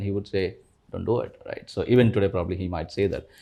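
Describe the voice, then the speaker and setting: With a Kannada accent, a man speaks very fast in a fairly low pitch. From India, rural Karnataka near Bangalore. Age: 40s. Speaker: investor, former tech professional. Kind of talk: interview. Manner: hesitant, many fillers.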